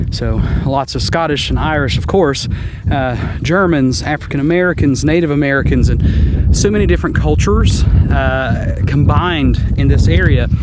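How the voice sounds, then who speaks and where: Over noticeable background noise, a man with a very deep, low pitch speaks at a moderate pace, his voice moving in very wide pitch swings. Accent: Southern Appalachian. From Southwest Virginia, Appalachian. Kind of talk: casual vlog talk to camera. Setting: outdoors.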